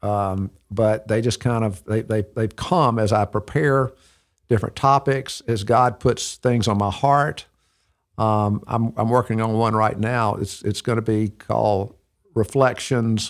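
Here is a man with an Alabama accent and fairly even intonation. The recording is very clean with a silent background. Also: medium pitch for a man, fairly slow pace. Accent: Southern US (Alabama). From US South, Birmingham, Alabama. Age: 60s. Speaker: ministry director and counselor to businessmen. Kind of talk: interview, telling life story. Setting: studio.

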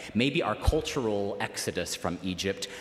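A man in an American accent, lively intonation and noticeable background noise. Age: 30s. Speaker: preacher. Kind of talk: sermon. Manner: conversational.

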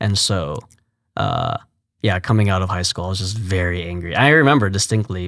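A man's ordinary speaking voice with an American accent, fairly low pitch, ordinary pitch variation and a fairly quick pace, against a quiet background. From Texas, Fort Worth. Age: 20s. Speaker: youth ministry worker. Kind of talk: interview testimony.

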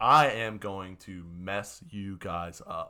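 Using a put-on character voice, a man speaks at a very slow pace. His pitch sits fairly low. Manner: threatening.

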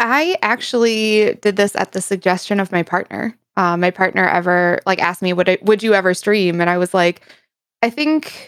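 In a very clean recording with a silent background, a woman with a plain, everyday voice speaks at medium pitch and a moderate pace, with ordinary pitch variation. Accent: American. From United States. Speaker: variety streamer. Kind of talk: casual chat.

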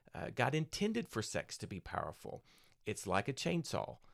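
Vocal fry runs through this man's voice. The recording is very clean, with a silent background. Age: 50s. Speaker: pastor. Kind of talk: casual chat.

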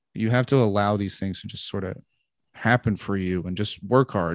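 An ordinary speaking voice with an American accent moves at a moderate pace with ordinary pitch variation, in a dry, close sound with no echo over a quiet background. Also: man. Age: 30s. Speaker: stand-up comedian. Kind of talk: casual interview conversation.

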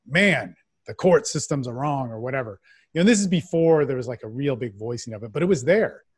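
Over a silent background in a very clean recording, a man talks at a fairly quick pace and medium pitch, his intonation lively, his loudness swinging widely and his voice somewhat breathy. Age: 40s. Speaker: men's development coach. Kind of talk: casual interview.

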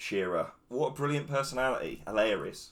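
A man talking at a fairly quick pace. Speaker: football pundit. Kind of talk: casual chat. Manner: talkative.

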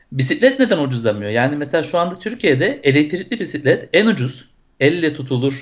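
A man has an unremarkable speaking voice. He talks at a moderate pace with lively intonation. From Turkey, Izmir. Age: 40s. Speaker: software entrepreneur and cycling advocate. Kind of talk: interview.

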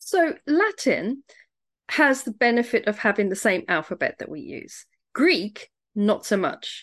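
With a British accent, a woman speaks at a high pitch and a fairly slow pace, her pitch swinging very widely. The background is quiet. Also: big swings in loudness. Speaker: podcast host and home educator. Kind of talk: casual interview.

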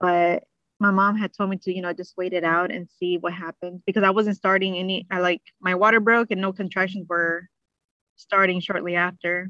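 A woman's medium-pitched voice in a flat monotone at a moderate pace. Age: 30s. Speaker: mother sharing birth stories. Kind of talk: interview, personal storytelling. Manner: hesitant, many fillers.

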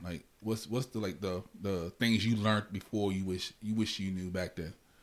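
Using an unremarkable speaking voice, a man talks at a fairly low pitch that varies normally. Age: 40s. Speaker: podcast host. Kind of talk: casual chat.

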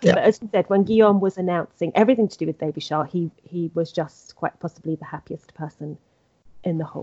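A woman rushes along at a very fast pace. Her pitch is fairly low, with ordinary variation. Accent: English. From England. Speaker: podcast host, royal news editor. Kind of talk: casual chat.

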